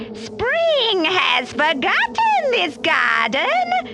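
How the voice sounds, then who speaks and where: Using a put-on character voice, a woman speaks high-pitched with very wide pitch swings. She goes at a very slow pace over clear background noise. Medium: read story.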